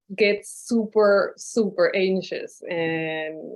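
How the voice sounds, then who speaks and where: This woman has a medium pitch with ordinary pitch variation. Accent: Spanish. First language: Spanish. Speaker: novelist. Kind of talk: panel discussion. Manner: hesitant, many fillers.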